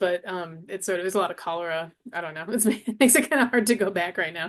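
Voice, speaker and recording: Speech comes at a very fast pace with vocal fry and ordinary pitch variation. The background is quiet. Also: woman. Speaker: Arabic instructor. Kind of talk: interview conversation. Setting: livestream with chat.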